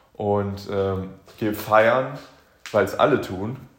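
A man with a fairly low pitch is heard with audible room echo. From Germany, Aachen. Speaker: podcast host, motivational speaker. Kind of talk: motivational monologue.

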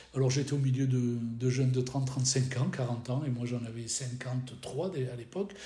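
A man's medium-pitched, somewhat breathy voice with a dark, mellow tone, fairly even intonation, a fairly slow pace and audible room echo. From French Riviera, southern France. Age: 60s. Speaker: business trainer and consultant. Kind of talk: interview.

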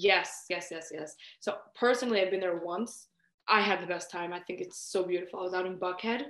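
In a plain, everyday voice, a woman with an American accent speaks at a fairly quick pace, her medium pitch held in fairly even intonation. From New York. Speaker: sports host and college student. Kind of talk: casual interview chat.

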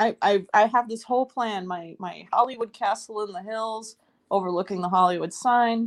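Against a quiet background, a woman with an American accent and a plain, everyday voice speaks at a fairly high pitch and a moderate pace, her intonation fairly even but her loudness swinging a lot. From New York City. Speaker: actress and puppeteer. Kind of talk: casual chat.

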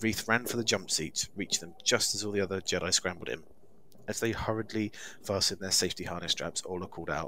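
Fairly even intonation from someone reading aloud in a natural voice

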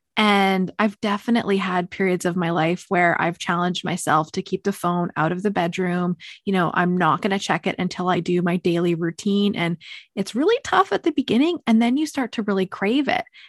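Against a quiet background, a woman speaks in a normal speaking voice at a fairly quick pace, with a medium pitch and ordinary pitch variation. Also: dry, close sound with no echo. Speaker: podcast host. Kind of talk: casual interview.

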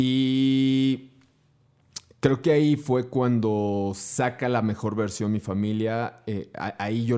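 Here a man's dark, mellow voice holds a medium pitch with fairly even intonation. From northern Mexico (Durango). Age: 30s. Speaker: motivational speaker. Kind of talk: interview conversation.

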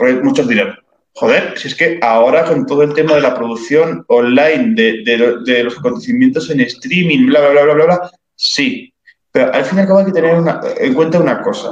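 A man with a fairly high pitch, very wide pitch swings and a moderate pace. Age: 30s. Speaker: writer and cultural commentator. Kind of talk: interview.

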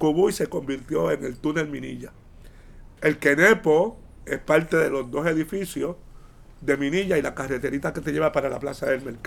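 A man's fairly high voice with vocal fry, ordinary pitch variation and a moderate pace. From Puerto Rico, Santurce (San Juan). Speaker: retired sociologist and professor. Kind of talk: casual interview.

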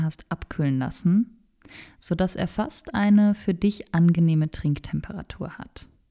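Calm and soothing, a woman speaks at a fairly slow pace in a dark, mellow, somewhat breathy tone, her fairly low pitch showing ordinary variation, with a dry, close sound and no echo. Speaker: meditation guide. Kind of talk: guided meditation. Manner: slow, calm, soothing, gently paced with pauses.

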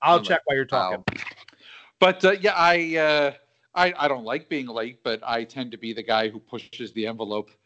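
In a South Philly accent, a man with a medium pitch talks at a fairly quick pace, his tone bright and sharp and his intonation lively, against a quiet background. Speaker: podcast host. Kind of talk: casual chat.

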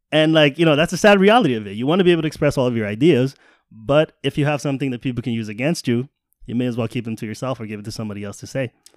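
Speaking at a very fast pace, a man with a medium pitch uses lively intonation and big swings in loudness. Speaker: podcast guest. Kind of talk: casual banter.

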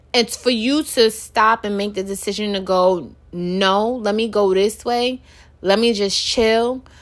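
Speaking at a medium pitch and a fairly slow pace, a woman sounds animated, with ordinary pitch variation, in a very clean recording with a silent background. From Brooklyn, New York City. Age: 30s. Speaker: podcast host. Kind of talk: casual monologue.

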